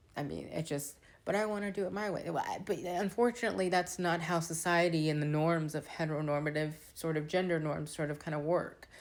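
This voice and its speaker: With a normal speaking voice, a woman talks at a fairly quick pace with hardly any pauses, using a fairly low pitch and ordinary pitch variation. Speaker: social media creator. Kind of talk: casual vlog monologue. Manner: conversational, filler-heavy.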